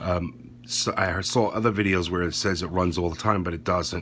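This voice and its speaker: Very deep and low, a man's voice moves at a moderate pace with ordinary pitch variation over light background noise. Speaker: product reviewer. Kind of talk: tutorial. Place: home room. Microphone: phone near.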